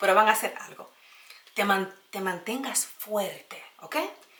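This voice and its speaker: A woman is heard here. Her delivery is fairly slow. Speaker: YouTuber sharing personal experience. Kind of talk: casual vlog advice talk.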